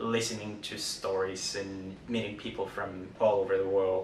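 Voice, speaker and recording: Noticeable background noise and audible room echo accompany speech delivered at a moderate speed. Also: man. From Mexico, Guadalajara. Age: 30s. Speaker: community member interviewee. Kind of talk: personal testimony interview.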